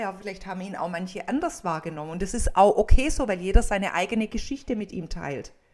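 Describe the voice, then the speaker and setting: A woman is speaking. Her pace is very fast. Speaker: funeral speaker and coach. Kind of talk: casual chat.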